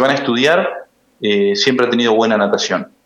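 A man speaks at medium pitch in a normal speaking voice. His pace is moderate and his intonation lively. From Argentina, Buenos Aires province. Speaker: lawyer and amateur swimmer. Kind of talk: interview. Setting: phone call.

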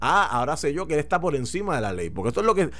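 A man's fairly high voice with very wide swings in pitch. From Puerto Rico. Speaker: political commentator. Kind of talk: radio talk show discussion.

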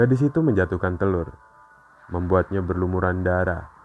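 Over music in the background, a man speaks at a moderate pace in a very deep, low voice. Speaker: podcast host. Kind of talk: scripted narration of horror fairy tales. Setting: podcast recording.

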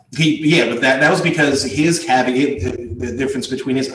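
A man mumbles in a put-on character voice at a medium pitch and moderate pace. There is a slight echo. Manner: mumbling and stammering.

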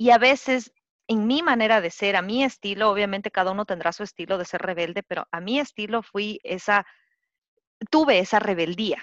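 A woman talks in an unremarkable speaking voice at a medium pitch with ordinary pitch variation. The sound is dry and close with no echo, against a quiet background. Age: 30s. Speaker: podcast co-host, graphic designer. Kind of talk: casual chat.

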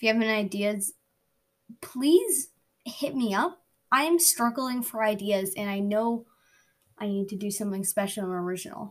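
This woman has a fairly high, somewhat breathy voice and a moderate pace. She leaves long, frequent pauses. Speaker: podcast host. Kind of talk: casual update to listeners. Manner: flat, not much emotion.

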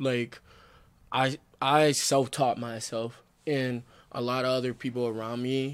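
A man with an American accent speaks at a fairly slow pace and medium pitch. His intonation is monotone and flat, on a very clean recording with a silent background. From Michigan (Flint). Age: 20s. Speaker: rapper. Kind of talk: casual chat.

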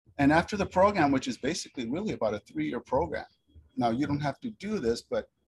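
Somewhat breathy and fairly quick, a man speaks with lively intonation. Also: dry, close sound with no echo. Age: 50s. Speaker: hair cutting educator. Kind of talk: casual chat. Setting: video call.

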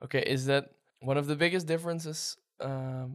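Fairly high in pitch, a man speaks with a Dutch accent. His intonation stays fairly even. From Netherlands. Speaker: podcast host. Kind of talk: casual interview.

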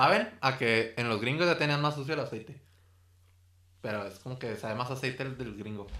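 In a room with audible echo, a man speaks with a bright, sharp tone and ordinary pitch variation. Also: medium pitch for a man, fairly quick pace. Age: 20s. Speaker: food podcast host. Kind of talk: casual chat.

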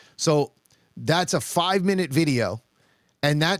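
Using a normal speaking voice, a man with a fairly high pitch and ordinary pitch variation speaks at a fairly slow pace in a dry, close sound with no echo. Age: 40s. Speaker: shooting coach and competitive shooter. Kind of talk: casual chat.

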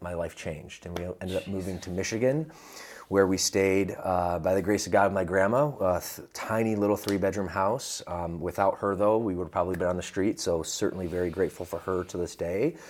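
Speaking fairly quickly in an ordinary speaking voice, a man keeps a fairly low pitch with ordinary pitch variation. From US South and Midwest. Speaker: fitness franchise executive. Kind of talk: interview.

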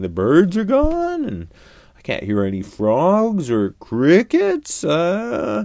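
A put-on character voice with a dark, mellow tone and vocal fry, slow pace and very wide pitch swings.

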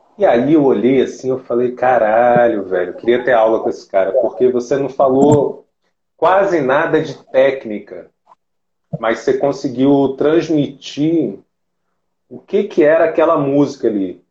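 A man's pitch is fairly high and varies in an ordinary way. He talks fairly slowly. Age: 30s. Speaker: podcast host and psychoanalyst. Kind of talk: casual interview. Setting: online live stream.

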